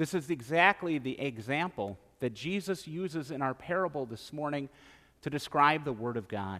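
Speaking with an Upper Midwest accent, a man uses a fairly high pitch, a bright, sharp tone and lively intonation at a moderate pace. The recording is very clean, with a silent background. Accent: Upper Midwest American. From central Wisconsin. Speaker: pastor. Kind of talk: sermon.

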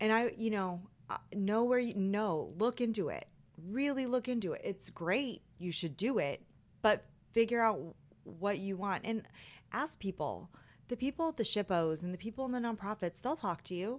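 On a very clean recording with a silent background, a woman with an unremarkable speaking voice talks at a moderate pace, her pitch fairly high and her intonation lively. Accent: American. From Las Vegas, Nevada. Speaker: preservation consultant. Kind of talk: interview.

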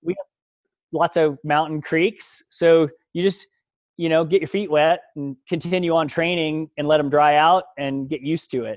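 A man speaks in an ordinary speaking voice, fairly high in pitch, at a moderate pace with fairly even intonation. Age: 40s. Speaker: ultramarathon runner. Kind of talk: casual interview.

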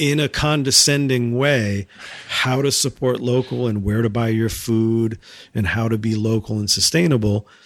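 A normal speaking voice with an American accent, at a moderate pace and with ordinary pitch variation. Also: man, medium pitch for a man. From New Hampshire, US. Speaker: arts nonprofit director and music producer. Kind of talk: casual chat. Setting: in person, his studio space.

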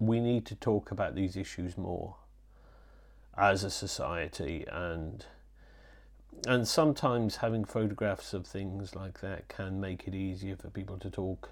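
Fairly slow speech in a Yorkshire accent, with ordinary pitch variation and big swings in loudness. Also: man, fairly low pitch for a man. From Yorkshire (born in Wales). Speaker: photographer. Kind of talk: interview. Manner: halting, many repetitions and fillers.

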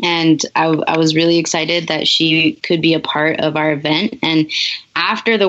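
A moderate-paced woman in a Southern US accent. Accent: picked-up Southern US. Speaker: long-distance cyclist and advocate. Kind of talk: interview. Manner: hesitant, many fillers.

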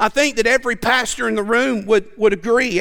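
A man with an American accent, high in pitch, at a moderate pace. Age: 40s. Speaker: preacher. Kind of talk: sermon. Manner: animated, repetitive stammering.

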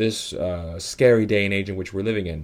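Talking at a very fast pace, a man with an American accent has a fairly low pitch with ordinary variation in a very clean recording with a silent background. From New York, Italian and Dominican heritage. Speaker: podcast host and consultancy director. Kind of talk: interview conversation.

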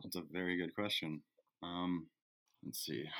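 This man has a very deep, low pitch and a Canadian accent. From British Columbia, Canada. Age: 20s. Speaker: student teacher and fisheries worker. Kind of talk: casual interview.

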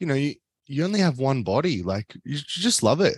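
Fairly quick speech from a man with a fairly high pitch and very wide pitch swings, dry and close with no echo, over a quiet background. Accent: Australian. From Australia. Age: 30s. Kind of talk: casual interview chat. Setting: video call.

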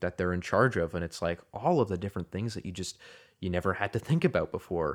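A man with a very deep, low pitch at a very fast pace, in a very clean recording with a silent background. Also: ordinary pitch variation. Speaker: film podcast co-host. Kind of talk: casual chat.

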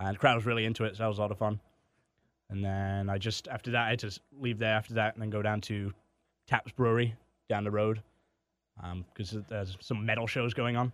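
A very fast pace with a slight Canadian accent, monotone, flat intonation and long, frequent pauses, on a very clean recording with a silent background. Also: man, fairly low pitch for a man. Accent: English with slight Canadian tinge. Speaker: comedian guest. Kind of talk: casual conversation. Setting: studio.

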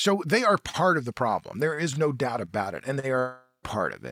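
Speaking fairly quickly, a man with a fairly high pitch uses lively intonation on a very clean recording with a silent background. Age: 60s. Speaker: author and journalist. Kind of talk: interview. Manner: halting.

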